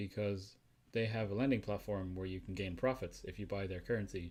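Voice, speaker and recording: In a very clean recording with a silent background, a man speaks at a fairly low pitch with fairly even intonation. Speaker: tech podcast co-host. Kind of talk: casual chat.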